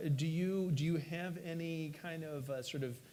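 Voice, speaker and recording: Moderate pace and ordinary pitch variation, with audible room echo and music in the background. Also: man. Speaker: panel moderator. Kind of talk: panel discussion. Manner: halting, stuttering.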